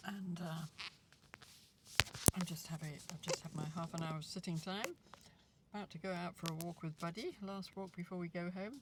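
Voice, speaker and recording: Noticeable background noise surrounds a female speaker whose talk is broken by long, frequent pauses. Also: fairly low pitch for a woman, moderate pace. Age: 60s. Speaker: lifestyle vlogger. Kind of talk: casual monologue. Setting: outdoors. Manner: hesitant, with fillers.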